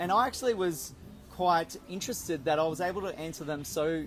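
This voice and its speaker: A man talks at a moderate pace with ordinary pitch variation, with music in the background. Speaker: entrepreneur. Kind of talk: casual chat.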